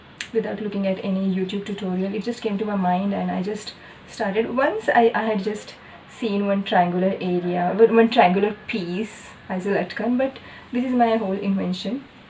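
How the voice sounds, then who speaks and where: Over noticeable background noise, a woman speaks at a moderate pace in a medium pitch with fairly even intonation. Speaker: doctor and vlogger. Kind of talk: casual vlog monologue. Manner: hesitant, with fillers.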